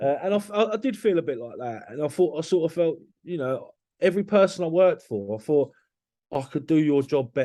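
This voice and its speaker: A man with a dark, mellow tone and a fairly high pitch talks at a fairly quick pace with lively intonation. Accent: London. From London area, Hertfordshire. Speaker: construction business owner. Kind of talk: podcast interview. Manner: animated; halting.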